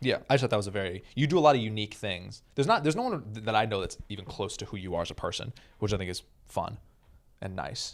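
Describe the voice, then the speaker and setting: Speech races at a very fast pace with ordinary pitch variation in a very clean recording with a silent background. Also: man. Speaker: podcast co-host, comedian. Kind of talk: casual chat.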